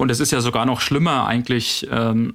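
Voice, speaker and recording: A man with a plain, everyday voice, a medium pitch, fairly even intonation and a fairly slow pace, in a very clean recording with a silent background. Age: 30s. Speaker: hydrogen vehicle test engineer and podcaster. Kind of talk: casual expert discussion.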